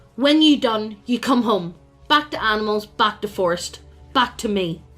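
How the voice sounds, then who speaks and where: A woman puts on a character voice at a fairly high pitch and moderate pace, with faint music in the background. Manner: commanding.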